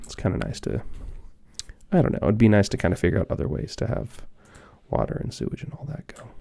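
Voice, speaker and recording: Soft-spoken delivery comes at a very fast pace, broken by long, frequent pauses. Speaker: ASMR gaming creator. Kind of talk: ASMR gameplay commentary.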